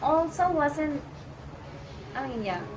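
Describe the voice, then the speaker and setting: A woman is heard with audible room echo. Noticeable background noise sits behind her voice. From Colombia. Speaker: immigrant friend. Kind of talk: casual chat.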